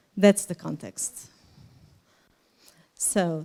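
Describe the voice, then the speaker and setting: A woman's dark, mellow voice at a very slow pace, with a Portuguese accent. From Portugal. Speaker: nonprofit volunteer organizer and kindergarten teacher. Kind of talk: conference presentation. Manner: halting, with hesitations.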